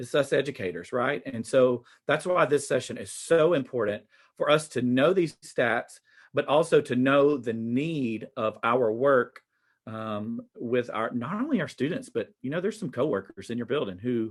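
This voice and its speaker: Speaking at a moderate pace over a quiet background, a man with a Southern US accent uses medium pitch and lively intonation. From US South. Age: 40s. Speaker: teacher. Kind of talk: conference presentation.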